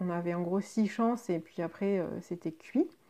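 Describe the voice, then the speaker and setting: The voice has a dark, mellow tone and ordinary pitch variation at a fairly slow pace. The background is quiet. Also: woman. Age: 30s. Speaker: podcast host sharing patient experience. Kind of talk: personal monologue podcast. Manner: hesitant with frequent fillers.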